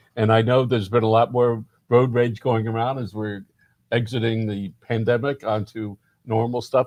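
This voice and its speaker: With an unremarkable speaking voice, a man talks at a moderate pace in a medium pitch with fairly even intonation, the sound dry and close with no echo. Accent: American. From Miami, Florida. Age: 50s. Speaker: community newspaper publisher. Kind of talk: interview.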